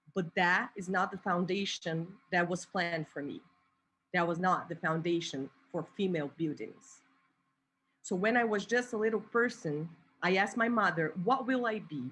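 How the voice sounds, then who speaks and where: Against a quiet background, a woman with a Portuguese accent speaks at a moderate pace. Her pitch is medium and her intonation lively. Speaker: activist and artist. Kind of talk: spoken word poetry performance.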